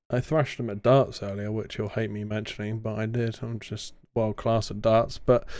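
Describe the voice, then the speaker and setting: A man with a slight southern English accent speaks at a medium pitch and moderate pace, with hardly any pauses. His intonation is monotone and flat against a quiet background. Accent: slightly posh rural southern English. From southern England. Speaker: podcast host. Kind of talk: casual chat.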